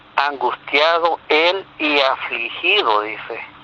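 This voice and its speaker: With lively intonation, a man talks at a fairly high pitch amid noticeable background noise. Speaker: religious teacher. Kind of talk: religious teaching. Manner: slow.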